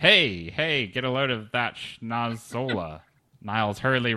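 Ordinary pitch variation in a stretch of plain reading aloud

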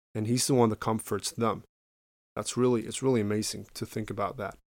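This man has a medium pitch. He speaks with a Spanish accent. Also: very clean recording, silent background. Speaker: podcast host. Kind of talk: Bible teaching monologue. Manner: halting.

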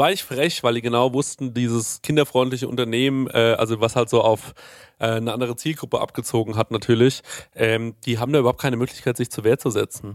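Words come very rapidly, and the intonation stays fairly even. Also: man, medium pitch for a man. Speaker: podcast co-host. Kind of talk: casual chat.

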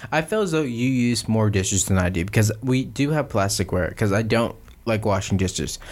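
A man speaks in an ordinary speaking voice at a fairly quick pace and a fairly low pitch. His loudness stays very even, and his pitch varies in an ordinary way. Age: 20s. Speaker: podcast co-host. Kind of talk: casual chat.

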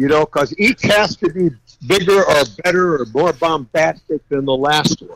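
The voice carries an American accent in a dry, close sound with no echo. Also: man. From California. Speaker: custom car builder. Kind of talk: casual interview. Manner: animated.

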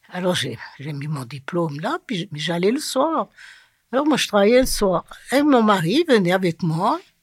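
Pitch swinging very widely, over a silent background on a very clean recording. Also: woman, medium pitch for a woman, fairly slow pace. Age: 80s+. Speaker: retirement home resident. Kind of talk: personal life story interview.

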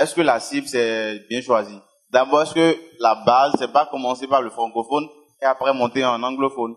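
Using fairly even intonation at medium pitch, a man speaks at a moderate pace with long, frequent pauses. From Benin. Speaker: audience member asking a question. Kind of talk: audience question.

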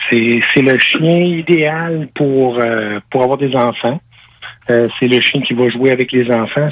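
The man talks at a very slow pace. His voice sits at medium pitch with ordinary variation. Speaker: dog breeder. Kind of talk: interview.

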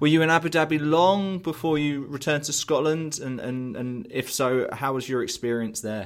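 A man with a southern English accent, fairly high in pitch, with ordinary pitch variation, a moderate pace and hardly any pauses, in a very clean recording with a silent background. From southern England. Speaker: podcast host. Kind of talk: interview.

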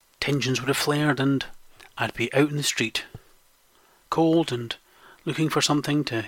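A man with a west coast Scottish accent talks at a fairly quick pace in a fairly high pitch with fairly even intonation. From western Scotland. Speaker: podcast host. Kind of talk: scripted monologue.

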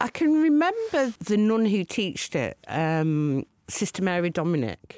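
A woman with a Lancashire accent, medium-pitched and fairly slow, with very wide pitch swings, very even loudness, and a dry, close sound free of echo. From Lancashire, northern England. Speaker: TV producer and DJ. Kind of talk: casual chat. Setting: studio.

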